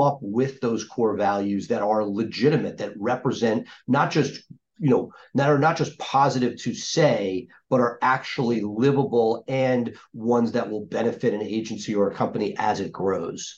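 He speaks at a medium pitch for a man, with a plain, everyday voice. His pace is moderate and his pitch varies in an ordinary way. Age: 50s. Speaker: podcast host. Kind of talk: interview.

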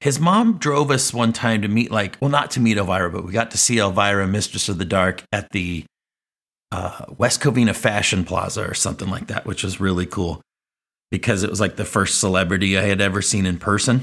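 A man with an ordinary speaking voice talks fairly quickly at a fairly low pitch, with ordinary pitch variation. The recording is very clean, with a silent background. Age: 40s. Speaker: teacher and podcast host. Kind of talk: personal storytelling monologue.

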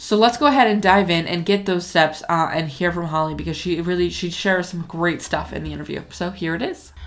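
A woman talks in a plain, everyday voice at a fairly quick pace with hardly any pauses. Her pitch is fairly low, with ordinary variation. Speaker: podcast host. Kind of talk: podcast interview, casual chat.

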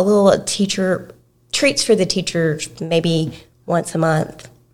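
In an East Texas accent, a woman with a fairly low pitch speaks at a very slow pace with fairly even intonation. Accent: East Texas Southern US. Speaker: preschool director. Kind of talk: podcast interview. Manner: soft-spoken.

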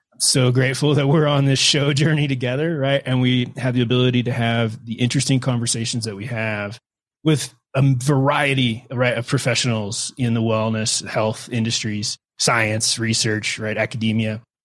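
A man with a plain, everyday voice, medium pitch, fairly even intonation and moderate pace. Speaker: podcast co-host. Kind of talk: casual interview.

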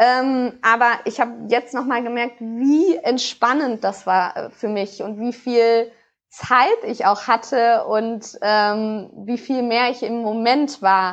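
Speaking very slowly, a woman talks at a fairly high pitch. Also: fairly even intonation. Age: 20s. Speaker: sport psychologist and researcher. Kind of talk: podcast interview.

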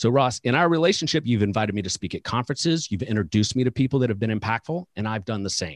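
A man talks at a very fast pace with hardly any pauses, his medium-pitched voice lively in intonation. The sound is dry and close with no echo, and the background is quiet. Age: 40s. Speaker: financial advisor coach and podcast host. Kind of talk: casual interview chat.

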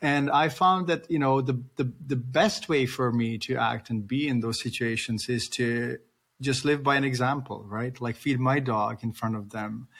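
A man speaks with a non-native accent at a moderate pace. His pitch is medium with ordinary variation. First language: not English. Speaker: podcast host, veterinarian. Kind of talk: interview conversation. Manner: halting, repeats words.

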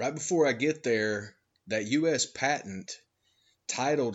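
Medium in pitch with ordinary variation, a man speaks in a Georgia Appalachian accent. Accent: Southern US (Georgia Appalachian). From US South, North Georgia Appalachian mountains. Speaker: podcast host. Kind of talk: monologue commentary. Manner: animated.

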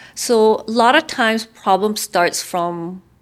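On a very clean recording with a silent background, a woman speaks with a Korean accent. Her voice has ordinary pitch variation. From South Korea. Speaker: head of a UN migration agency office. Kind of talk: interview.

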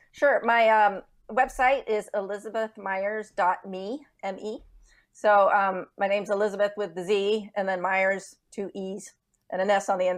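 A woman speaks with an American accent at a medium pitch. Her loudness swings widely against a quiet background. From Texas. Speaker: author and speaker. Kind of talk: interview. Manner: halting.

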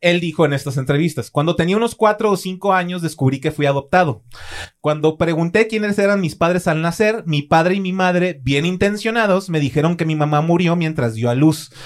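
Using ordinary pitch variation, a man speaks with a high pitch. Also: fairly quick pace. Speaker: true crime podcast host. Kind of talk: true-crime narration, read from a script. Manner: grave, measured, storytelling delivery; formal and even, unlike his casual chat.

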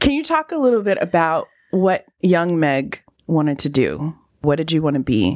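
With a Californian accent, a woman speaks at a moderate pace and a fairly low pitch, her intonation lively. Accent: Californian American English. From Los Angeles (West Hollywood). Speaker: podcast host. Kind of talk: interview conversation. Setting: in person.

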